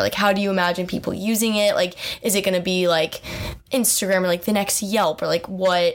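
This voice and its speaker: Over noticeable background noise, a woman speaks at a medium pitch and moderate pace with fairly even intonation. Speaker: student podcast host. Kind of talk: interview.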